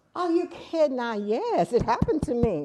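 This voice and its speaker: The woman's tone is dark and mellow. Her pitch swings very widely. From US South, Houston, Texas. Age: 70s. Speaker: documentary interviewee, grandmother. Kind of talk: interview testimony.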